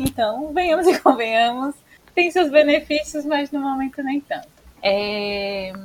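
A high-pitched woman's voice with lively intonation at a fairly slow pace. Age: 20s. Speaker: civil engineer and podcast co-host. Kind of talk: casual chat.

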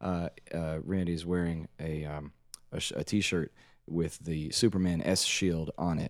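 The man's voice is very deep and low. His intonation stays flat and monotone. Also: fairly slow pace, very clean recording, silent background. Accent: American. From Washington, D.C. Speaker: banjo player in a band. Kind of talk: casual interview chat. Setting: studio.

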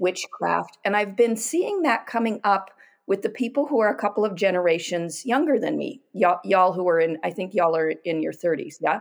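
Her voice is a normal speaking voice, a woman at medium pitch with lively intonation and a moderate pace. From US Pacific Northwest. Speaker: oracle deck creator and artist. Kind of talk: casual chat.

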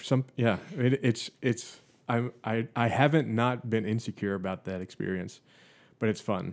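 Recorded very cleanly against a silent background, a man with a plain, everyday voice speaks at a moderate pace with medium pitch and ordinary pitch variation. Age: 30s. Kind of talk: casual chat. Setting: podcast recording.

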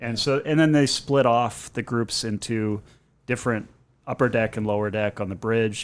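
In an ordinary speaking voice, a man talks at medium pitch and a moderate pace with fairly even intonation, on a very clean recording with a silent background. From New England (born in Boston, grew up partly in Maine). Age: 40s. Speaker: amateur marathon runner. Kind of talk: casual chat.

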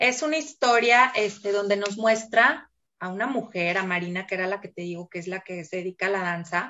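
A woman talks at a moderate pace in a normal speaking voice. Her pitch is medium with ordinary variation, while her loudness swings widely. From Mexico City. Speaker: educator and book reader. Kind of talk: casual interview. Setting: video call.

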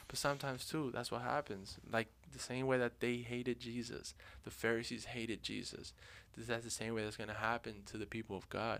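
A man speaks in a plain, everyday voice at a medium pitch. His pace is fairly quick and his intonation fairly even. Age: 20s. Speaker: podcast host. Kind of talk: casual chat.

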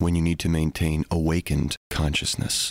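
On a very clean recording with a silent background and a dry, close sound with no echo, a man with a very deep, low pitch speaks at a fairly quick pace. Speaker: hypnosis guide. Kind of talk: guided meditation. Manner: hushed, measured, with long pauses.

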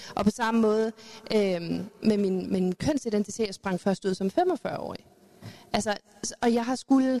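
A woman's fairly high voice, dark and mellow in tone with ordinary pitch variation, moves at a fairly slow pace with long, frequent pauses in a dry, close sound with no echo. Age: 40s. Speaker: youth educator, panelist. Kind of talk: panel debate. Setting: live event with audience.

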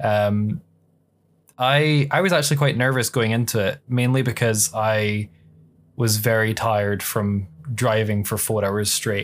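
An unremarkable speaking voice at a fairly slow pace, with ordinary pitch variation and very even loudness, on a very clean recording with a silent background. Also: man, medium pitch for a man. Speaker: podcast host. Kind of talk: casual interview chat.

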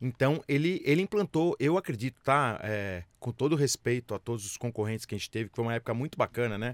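Here is a man with an ordinary speaking voice, medium in pitch, at a fairly quick pace. The sound is dry and close with no echo, on a very clean recording with a silent background. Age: 50s. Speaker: business executive and entrepreneur. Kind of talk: interview.

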